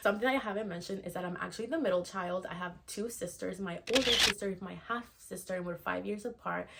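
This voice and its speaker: The delivery is very fast, with hardly any pauses and ordinary pitch variation. Noticeable background noise runs underneath. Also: woman, medium pitch for a woman. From Venezuela. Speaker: virtual assistant and mentor. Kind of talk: personal story vlog.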